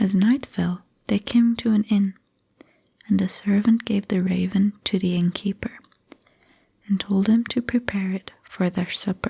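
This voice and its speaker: The speech comes at a fairly slow pace, soft-spoken, with long, frequent pauses. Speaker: ASMR creator. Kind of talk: bedtime fairy tale reading.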